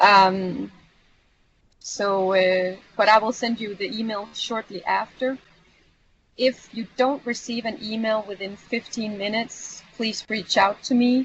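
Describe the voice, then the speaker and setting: Very slow, somewhat breathy speech with a non-native accent. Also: woman, fairly high pitch for a woman, fairly even intonation. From Europe. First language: not English. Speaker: community manager / trainer. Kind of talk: online training session. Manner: hesitant, many fillers.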